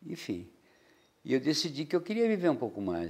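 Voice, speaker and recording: Here is a man speaking. His pace is moderate. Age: 60s. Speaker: painter. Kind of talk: interview. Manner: halting.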